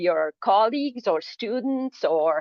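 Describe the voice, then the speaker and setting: Speaking fairly slowly with a Spanish accent, a woman uses a fairly high voice with very wide pitch swings. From Argentina. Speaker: atmospheric scientist. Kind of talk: lecture. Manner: halting.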